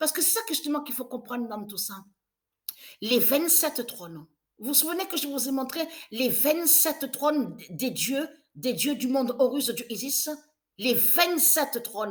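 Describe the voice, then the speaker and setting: Speaking at a fairly slow pace, a woman with a high pitch uses lively intonation and big swings in loudness. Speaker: religious video creator. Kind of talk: prophetic monologue. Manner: halting.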